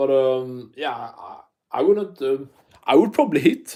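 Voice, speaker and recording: Carrying a strong non-native accent, a man talks at a fairly slow pace. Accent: thick non-native. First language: not English. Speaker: MMA YouTuber. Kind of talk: live stream chat. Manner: animated; quieter than usual.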